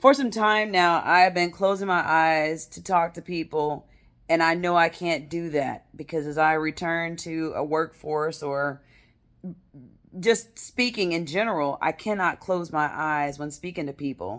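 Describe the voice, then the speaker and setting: A woman speaks in an ordinary speaking voice with fairly low pitch and ordinary pitch variation, at a fairly slow pace. Her loudness swings widely on a very clean recording with a silent background. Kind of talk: casual vlog monologue.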